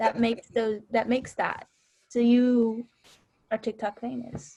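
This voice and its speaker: In an American accent, a woman speaks at a high pitch and a fairly slow pace. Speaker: student newspaper editor. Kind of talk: casual chat.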